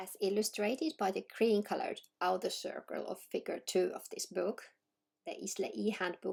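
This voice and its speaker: A woman speaks with a Finnish accent. Her pace is moderate. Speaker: education researcher. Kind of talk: scripted narration. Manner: formal.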